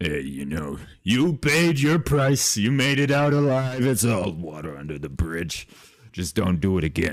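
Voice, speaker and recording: Putting on a character voice, a man talks at a moderate pace with a fairly low pitch and very wide pitch swings. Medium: actual play. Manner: loud, crude, brash.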